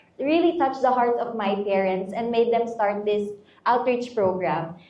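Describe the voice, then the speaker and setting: The voice shows ordinary pitch variation over noticeable background noise, with audible room echo. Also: woman. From Philippines, Batangas. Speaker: beauty pageant contestant. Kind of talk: interview.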